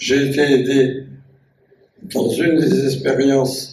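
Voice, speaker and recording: A man is speaking. His pitch sits at a medium level. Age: 80s+. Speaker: caver and scientist. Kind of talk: public talk recalling memories. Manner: hesitant, repetitive.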